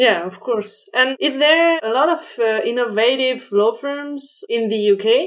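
Speaking with a French accent, a woman talks at a fairly slow pace in a high pitch, with lively intonation and hardly any pauses. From France. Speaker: podcast host, legal innovation consultant. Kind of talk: interview.

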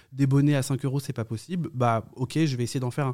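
A man talks at a medium pitch. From France, Yvelines and countryside. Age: young. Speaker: knitting influencer and TV presenter. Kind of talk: interview. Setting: hotel. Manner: hesitant, many fillers.

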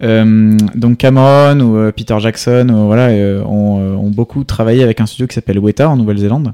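Medium in pitch and dark, mellow in tone, a man speaks at a moderate pace with fairly even intonation, the sound dry and close with no echo and the recording very clean against a silent background. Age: 20s. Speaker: 3D animation company CEO. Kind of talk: interview.

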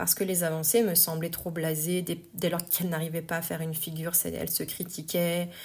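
Fairly low, somewhat breathy female voice at a moderate pace. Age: 40s. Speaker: yoga teacher and podcast host. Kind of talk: personal monologue podcast. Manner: hesitant, many filler words.

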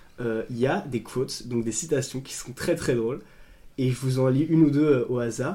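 Pitched at a medium level, a man's voice rises and falls in an ordinary way, an unremarkable speaking voice. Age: 20s. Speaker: podcast co-host. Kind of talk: casual chat.

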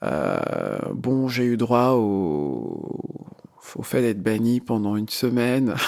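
A man speaks at a very slow pace. His medium pitch shows ordinary variation. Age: 30s. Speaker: podcast interviewee. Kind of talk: personal testimony. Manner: halting, many fillers.

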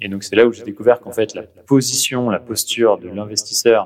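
Here is a man with a normal speaking voice. He keeps a moderate pace and fairly even intonation. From Paris, France. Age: 30s. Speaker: venture capital investor. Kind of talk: interview.

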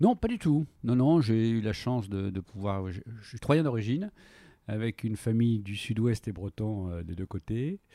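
In a very clean recording with a silent background and a dry, close sound with no echo, a man speaks with a dark, mellow tone. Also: medium pitch for a man, ordinary pitch variation, fairly slow pace. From France, Troyes. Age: 60s. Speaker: company director. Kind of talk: interview. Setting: at guest's premises.

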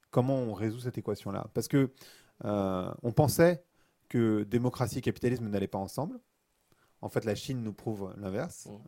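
The man's dark, mellow voice sits at medium pitch with ordinary pitch variation, moving at a moderate pace with long, frequent pauses on a very clean recording with a silent background. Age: 40s. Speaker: author and podcaster. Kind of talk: interview conversation. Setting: studio.

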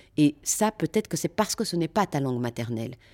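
A woman with a very deep, low voice and a dark, mellow tone speaks at a fairly quick pace with lively intonation, in a very clean recording with a silent background and a dry, close sound with no echo. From Brussels, Belgium. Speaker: actress. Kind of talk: interview.

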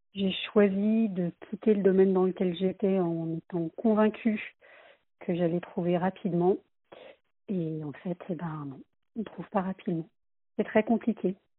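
At a fairly slow pace with long, frequent pauses, a woman of medium pitch speaks with fairly even intonation and big swings in loudness. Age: 40s. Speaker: job seeker giving testimony. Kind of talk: recorded testimony.

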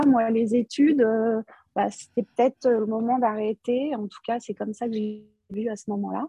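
A somewhat breathy voice with fairly even intonation. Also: woman. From Paris region, France. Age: 50s. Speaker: operations manager in industry. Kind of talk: interview podcast. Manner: hesitant, many fillers and repetitions.

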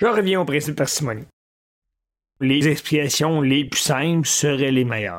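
Speaking with a Quebec accent, a man with a fairly high pitch keeps a moderate pace but takes long, frequent pauses. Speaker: podcast host. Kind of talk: solo monologue podcast. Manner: casual, conversational.

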